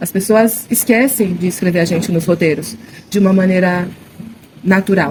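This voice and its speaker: A woman at a medium pitch with ordinary pitch variation, a moderate pace and long, frequent pauses, over noticeable background noise. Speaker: actress and theatre director. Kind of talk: interview. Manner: halting, many fillers and restarts.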